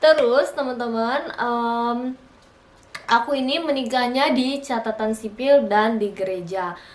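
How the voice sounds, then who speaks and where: Speaking very slowly, a woman uses a high pitch with ordinary variation. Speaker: vlogger. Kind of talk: casual vlog talk to camera. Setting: alone at home in front of camera. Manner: chatty, with many fillers.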